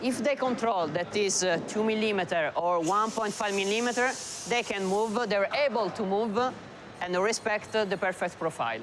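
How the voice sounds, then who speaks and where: Someone with an Italian accent speaks at a moderate pace over noticeable background noise. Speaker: factory production manager. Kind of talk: interview. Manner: halting.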